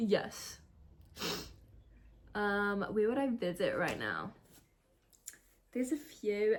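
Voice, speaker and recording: A woman speaks with a New Zealand accent and a fairly high pitch. She leaves long, frequent pauses. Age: 20s. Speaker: YouTuber. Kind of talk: casual chat. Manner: casual, chatty.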